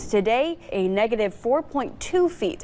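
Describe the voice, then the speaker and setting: A woman speaks in an American accent with a fairly high pitch and lively intonation. It is a normal speaking voice. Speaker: television news anchor. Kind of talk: TV news anchor delivery.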